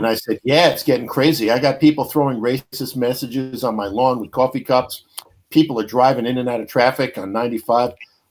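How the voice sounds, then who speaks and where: Speaking at a medium pitch, a man talks with a New York accent. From New York, Brooklyn. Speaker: podcast host. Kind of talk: casual chat. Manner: animated storytelling.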